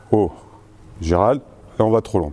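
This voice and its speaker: Here a man speaks in a dark, mellow tone. His intonation is lively. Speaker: basketball coach. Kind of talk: lecture.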